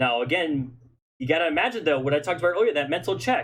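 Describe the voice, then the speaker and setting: The man's lively intonation comes through a somewhat breathy voice pitched fairly high. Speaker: esports caster. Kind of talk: live commentary. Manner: fast; animated.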